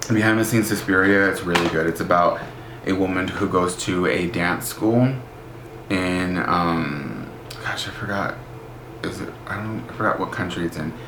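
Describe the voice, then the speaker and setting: A man's very deep, low voice with ordinary pitch variation at a moderate pace, amid audible room echo and noticeable background noise. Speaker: book vlogger. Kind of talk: casual vlog. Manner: animated.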